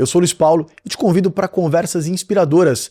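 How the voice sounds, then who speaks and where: This man's voice has a dark, mellow tone and a fairly high pitch, with ordinary pitch variation and a dry, close sound with no echo. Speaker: podcast host and marketing mentor. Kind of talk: interview podcast. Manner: talkative, animated.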